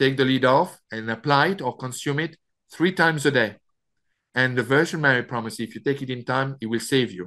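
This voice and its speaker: With a French accent, a man speaks fairly quickly at medium pitch, his tone bright and sharp, his pitch varying in an ordinary way, against a quiet background. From France. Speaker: author. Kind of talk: interview. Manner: halting.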